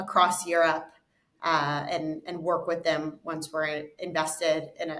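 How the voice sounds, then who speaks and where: With an American accent and fairly low pitch, a woman talks in a plain, everyday voice. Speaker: investment fund co-founder. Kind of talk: interview.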